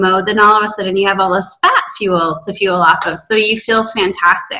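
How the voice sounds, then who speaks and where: A woman speaks in a normal speaking voice. Her pitch is medium and her intonation fairly even. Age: 30s. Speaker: fasting coach. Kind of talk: casual interview.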